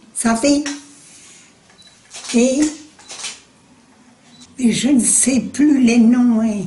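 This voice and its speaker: A woman's high voice at a very slow pace, with long, frequent pauses, fairly even intonation, very even loudness and noticeable background noise. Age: 80s+. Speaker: war witness. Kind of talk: interview answer.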